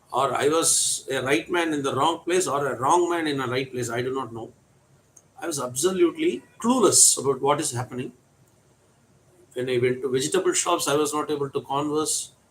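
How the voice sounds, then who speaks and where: A man with a Tamil Indian accent talks at a fairly quick pace, his pitch fairly high with ordinary variation. Noticeable background noise runs behind him. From India, Tamil Nadu. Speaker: English teacher. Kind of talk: storytelling.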